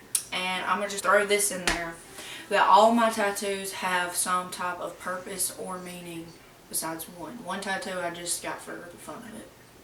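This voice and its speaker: A woman's flat, monotone voice in an Alabama accent, medium in pitch, with big swings in loudness, audible room echo and noticeable background noise. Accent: Southern US (Alabama). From US South, rural Alabama. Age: 20s. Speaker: YouTuber. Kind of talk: casual Q&A vlog. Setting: at home. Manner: casual, chatty.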